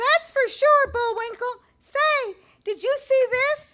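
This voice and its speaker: The speaker uses a put-on character voice with an extremely high pitch. Delivery comes at a fairly slow pace. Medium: audio drama. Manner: earnest, patient.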